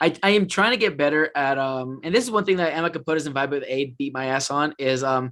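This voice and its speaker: Loud and at a very fast pace with hardly any pauses, a man with a fairly high pitch and a bright, sharp tone uses lively intonation. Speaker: podcast host and festival vlogger. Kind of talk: casual chat. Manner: halting, many fillers.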